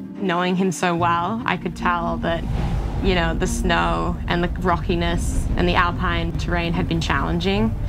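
Over noticeable background noise, a woman speaks. She talks at a fairly slow pace. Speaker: ultra runner. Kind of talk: interview answer. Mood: warm, proud, reflective. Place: forest. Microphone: lapel.

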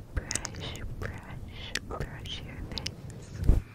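A whisper delivered at a very slow pace. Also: woman. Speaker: ASMR creator. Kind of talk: soft-spoken ASMR roleplay. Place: home room. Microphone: studio mic.

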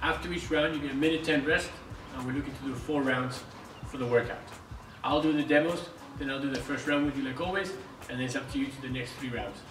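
A man speaks at a very fast pace with fairly even intonation. Noticeable background noise sits behind him. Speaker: fitness coach. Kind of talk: tutorial. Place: gym. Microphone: camera far.

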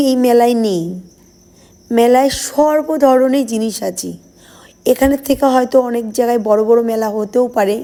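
Her voice is high in pitch for a woman, with a dark, mellow tone. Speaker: vlogger. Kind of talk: casual vlog narration. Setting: outdoors at a crowded fair.

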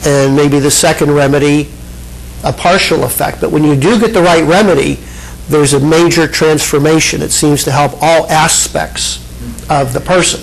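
A man talks at a moderate pace with fairly even intonation. His loudness stays very even throughout. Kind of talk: lecture. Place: hall. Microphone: handheld.

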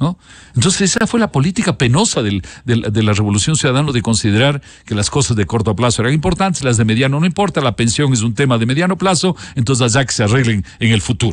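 A man at medium pitch, somewhat breathy, at a very fast pace with lively intonation and very even loudness, in a dry sound with no echo. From Ecuador. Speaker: economist; guest. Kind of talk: interview. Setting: studio. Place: studio. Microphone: studio mic.

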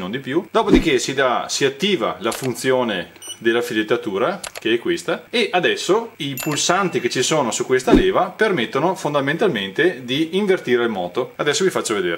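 A man speaks at a moderate pace with very wide pitch swings over light background noise. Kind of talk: tutorial. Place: garage.

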